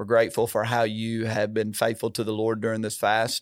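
In a very clean recording with a silent background, a man with a plain, everyday voice talks at a moderate pace and medium pitch. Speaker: senior pastor. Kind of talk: sermon-style devotional chat. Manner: warm, encouraging.

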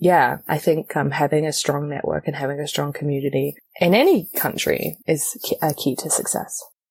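Speaking at a moderate pace, a woman has a New Zealand accent. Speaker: theatre director and actor. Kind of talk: interview conversation.

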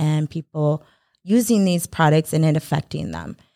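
The recording is very clean and dry, close-up with no echo, over silence. A woman speaks at a very deep, low pitch in a dark, mellow tone. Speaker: business owner. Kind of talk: interview.

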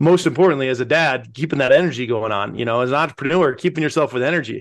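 Against a quiet background, a man with a General American accent talks at a fairly high pitch. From Pueblo, Colorado. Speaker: entrepreneur. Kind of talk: interview. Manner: animated.

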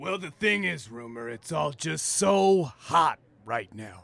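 Speaking at a fairly slow pace, a man with a fairly high pitch shows very wide pitch swings and big swings in loudness. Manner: smug, sleazy, obsessed with saying hot.

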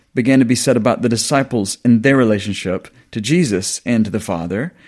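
With a Southern US accent, a man talks at a moderate pace in a very clean recording with a silent background. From US South. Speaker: New Testament scholar and lecturer. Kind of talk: interview, academic discussion.

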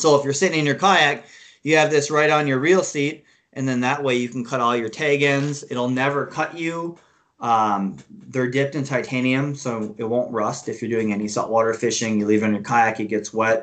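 A man with an American accent and a normal speaking voice, at a medium pitch and a moderate pace, with ordinary pitch variation. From Minnesota. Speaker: fishing gear sales director. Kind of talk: casual interview.

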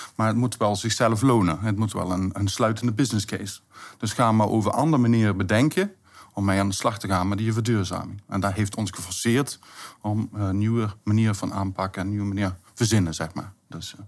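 Recorded very cleanly against a silent background, a man with an unremarkable speaking voice talks fairly quickly, fairly low in pitch, with fairly even intonation. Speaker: municipal contracts manager. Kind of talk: interview.

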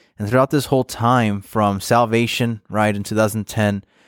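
This man speaks in a normal speaking voice at a fairly low pitch and a moderate pace, with ordinary pitch variation, in a dry, close sound with no echo on a very clean recording with a silent background. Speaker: podcast host and interviewer. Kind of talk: scripted intro and outro, then interview questions.

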